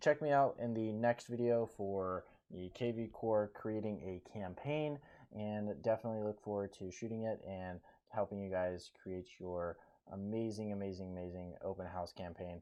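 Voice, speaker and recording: With an ordinary speaking voice, a man of fairly low pitch talks at a moderate pace, his loudness swinging widely and his pitch varying in an ordinary way. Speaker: real estate agent. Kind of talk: tutorial.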